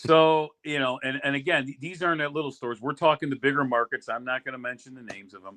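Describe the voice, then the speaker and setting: A man with an American accent talks at a very fast pace with hardly any pauses. His fairly high, bright, sharp voice shows big swings in loudness. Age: 60s. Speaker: sauce business owner, retired union official. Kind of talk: interview on a podcast. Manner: animated, repetitive restarts.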